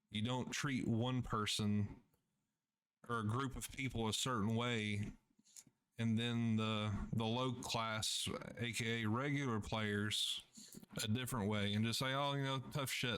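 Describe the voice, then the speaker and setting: In a room with audible echo, a man with a medium pitch talks at a fairly slow pace in a flat monotone, his loudness very even and his pauses long and frequent. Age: 30s. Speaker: gamer. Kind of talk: casual vlog rant. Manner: halting.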